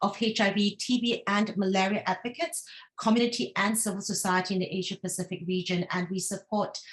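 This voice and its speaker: A woman talks at a fairly quick pace in a medium pitch, with fairly even intonation. It is an ordinary speaking voice. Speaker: regional coordinator of a health advocacy network. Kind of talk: webinar presentation.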